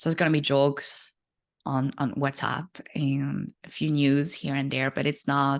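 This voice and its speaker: Someone talks in a French accent at a fairly slow pace. The intonation is monotone and flat, over a quiet background. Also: woman, very deep, low pitch for a woman. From France. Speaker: copywriter. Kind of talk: casual chat. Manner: halting, many repeated words and fillers.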